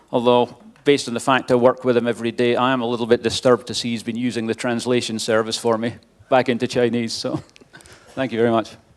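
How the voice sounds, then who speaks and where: Speaking at a very fast pace, a man uses a medium pitch and a monotone, flat delivery. He has a strong Scottish accent. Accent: Scottish, self-described as strong. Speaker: wind engineering expert. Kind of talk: conference presentation. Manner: casual, with fillers.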